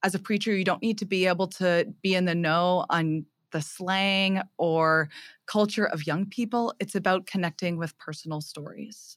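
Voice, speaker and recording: In an unremarkable speaking voice, a woman talks at a moderate pace with medium pitch and fairly even intonation on a very clean recording with a silent background. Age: 20s. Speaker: theology graduate and retreat leader. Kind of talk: casual interview; preaching a homily.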